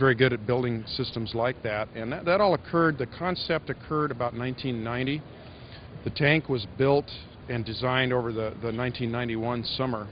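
The sound is dry with no echo and light background noise as a man speaks at a moderate pace with ordinary pitch variation. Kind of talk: interview answer. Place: hall. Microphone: handheld.

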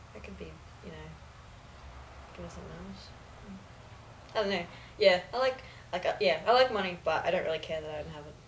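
With long, frequent pauses and big swings in loudness, a woman with an Australian accent speaks at a moderate pace over light background noise. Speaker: university student; guest. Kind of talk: casual chat. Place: home room. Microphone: camera far.

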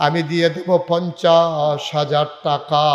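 A man's high-pitched voice carries audible room echo, with noticeable noise in the background. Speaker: Islamic preacher. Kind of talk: sermon. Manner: animated.

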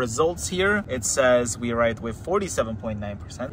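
Someone speaks at a moderate pace over noticeable background noise, with a dry sound and no echo. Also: man. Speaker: car owner vlogger. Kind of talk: casual vlog commentary. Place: car. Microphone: phone near.

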